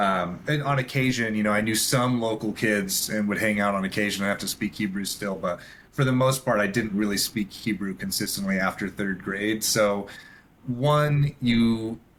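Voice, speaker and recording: The speaker has an ordinary speaking voice with an American accent. The pace is moderate, and the pitch varies in an ordinary way. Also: man, fairly low pitch for a man. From Israel. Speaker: filmmaker and photographer. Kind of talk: podcast interview. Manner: casual, with fillers.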